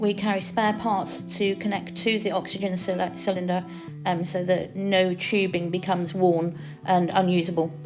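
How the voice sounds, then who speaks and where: With music in the background, a woman at a medium pitch speaks at a moderate pace in monotone, flat intonation. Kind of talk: voice-over explaining medical equipment. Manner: hesitant, stammers, frequent filler ums.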